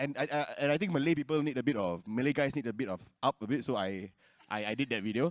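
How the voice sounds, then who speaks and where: Very fast and with lively intonation, a man speaks at a medium pitch in a Singaporean accent, the sound dry and close with no echo. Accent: Singlish. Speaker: content creator. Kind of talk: panel discussion.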